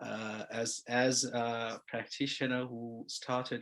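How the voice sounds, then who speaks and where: Set against a silent background in a very clean recording, the voice carries a non-native accent and flat, monotone intonation. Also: man. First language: not English. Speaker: construction lawyer. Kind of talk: seminar presentation. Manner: halting, many fillers.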